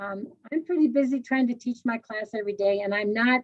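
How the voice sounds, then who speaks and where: Delivered at a fairly quick pace with ordinary pitch variation, the voice has a dry, close sound with no echo. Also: woman. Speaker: language teacher presenting at conference. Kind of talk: online conference talk. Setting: video presentation, standing. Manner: energetic.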